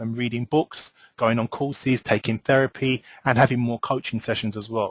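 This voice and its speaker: A man speaks at a medium pitch. The sound is dry and close, with no echo. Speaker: relationship coach. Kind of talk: webinar presentation. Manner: fast; hesitant, many fillers.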